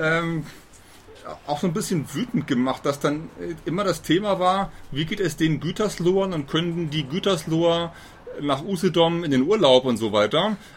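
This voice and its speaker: A man's high voice with ordinary pitch variation and noticeable background noise. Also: moderate pace. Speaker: podcast host. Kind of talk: interview. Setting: outdoors on a balcony.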